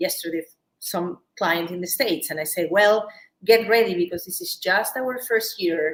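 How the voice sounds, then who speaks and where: A woman's medium-pitched voice with ordinary pitch variation and a Peruvian accent. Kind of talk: live shopping show interview. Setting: live stream.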